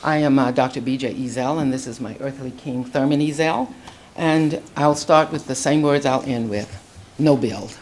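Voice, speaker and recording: In an American accent, a woman talks with fairly even intonation at a very deep, low pitch. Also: moderate pace. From Florida, Orlando area. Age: 70s. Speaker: retired hospital consultant, public commenter. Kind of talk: public comment. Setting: county board meeting.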